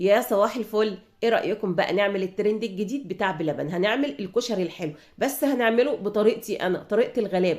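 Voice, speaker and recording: Delivered in an Egyptian accent, the speech moves at a fairly quick pace with hardly any pauses. Pitch varies in an ordinary way. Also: woman, medium pitch for a woman. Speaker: home cooking channel host. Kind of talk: cooking tutorial. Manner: casual, conversational.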